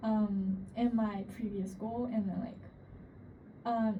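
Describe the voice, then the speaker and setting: A woman with a Chinese accent speaks very slowly at a fairly high pitch in a monotone, flat delivery, with audible room echo. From China. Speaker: international student. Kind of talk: interview. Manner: halting, many fillers.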